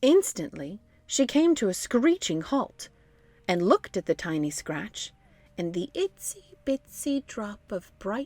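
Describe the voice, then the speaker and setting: Very slowly, a woman with a medium pitch speaks with very wide pitch swings and big swings in loudness, the sound dry and close with no echo. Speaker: voice actor. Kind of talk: children's book read-aloud.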